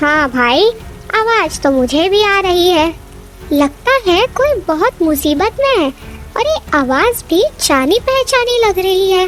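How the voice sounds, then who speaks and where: A cartoonish character voice at a fairly slow pace over clear background noise. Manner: warm, sympathetic.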